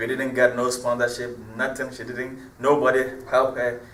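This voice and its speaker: A man's medium-pitched voice at a fairly quick pace, with noticeable background noise. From Ghana, Cape Coast. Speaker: hip-hop artist. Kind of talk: interview. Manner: animated.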